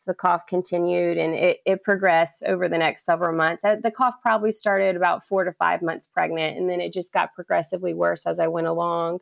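A woman with an American accent, a plain, everyday voice and a fairly low pitch talks at a fairly quick pace with hardly any pauses and fairly even intonation, in a dry, close sound with no echo. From US South, Charleston, South Carolina. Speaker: physician assistant. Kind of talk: personal testimony in interview.

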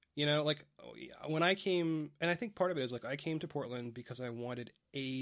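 A man speaks in a plain, everyday voice with a fairly high pitch. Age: 30s. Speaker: writer and blogger. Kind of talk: casual chat.

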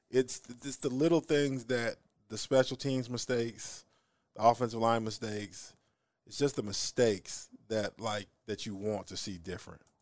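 A man with an American accent talks at a moderate pace in an unremarkable speaking voice of medium pitch, with ordinary pitch variation and big swings in loudness over a quiet background. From southern Missouri (Springfield). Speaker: former college football player and coach. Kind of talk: casual interview.

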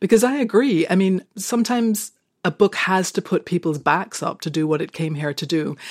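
Here is an ordinary speaking voice, a woman of medium pitch. She speaks at a moderate pace with lively intonation. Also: very clean recording, silent background. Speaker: screenwriter and novelist. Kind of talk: casual chat.

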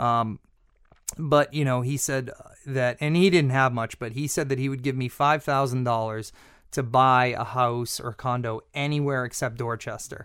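A man speaks in a Boston accent. His intonation stays fairly even. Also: medium pitch for a man, moderate pace, very clean recording, silent background. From Massachusetts North Shore (Peabody). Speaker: chef and restaurant owner. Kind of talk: casual interview. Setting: studio.

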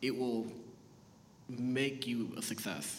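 This man speaks at a medium pitch. Audible room echo surrounds his voice. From Boston, Massachusetts (born Haiti, moved at four). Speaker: TV writer and producer. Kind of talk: live panel discussion. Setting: stage with audience.

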